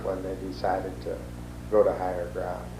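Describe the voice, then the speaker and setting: A man talks with an American accent. There is audible room echo. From US Midwest, northeast Iowa. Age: 70s. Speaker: oral history interviewee. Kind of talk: oral history interview. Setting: at his home.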